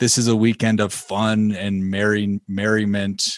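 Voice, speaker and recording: A man talks at a fairly low pitch in an American accent. The sound is dry and close with no echo, over a quiet background. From Illinois. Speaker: podcast host and musician. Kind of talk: casual chat.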